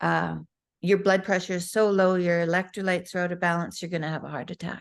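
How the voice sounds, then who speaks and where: A woman speaks in a normal speaking voice at a medium pitch with fairly even intonation. The background is quiet. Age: 60s. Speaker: guest, mother. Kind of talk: interview answer. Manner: candid, conversational.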